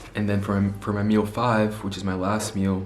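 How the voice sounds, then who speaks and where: With audible room echo and noticeable background noise, a man speaks fairly quickly at a fairly low pitch in monotone, flat intonation. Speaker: fitness vlogger. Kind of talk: casual vlog talk to camera. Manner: stutters at times.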